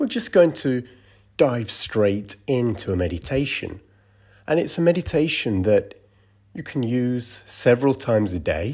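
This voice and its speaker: A man speaks in a plain, everyday voice with medium pitch. His intonation is lively, and the recording is very clean with a silent background. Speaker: meditation guide. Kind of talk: guided meditation. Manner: slow, calm and soothing, with long pauses; gentle, soft-spoken.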